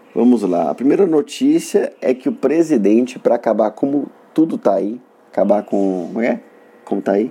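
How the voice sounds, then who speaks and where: At a moderate pace, a man speaks with a northern Minas Gerais accent. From northern Minas Gerais, Brazil (Montes Claros). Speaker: comedian and podcast host. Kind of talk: comedic solo monologue. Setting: solo recording in Belo Horizonte.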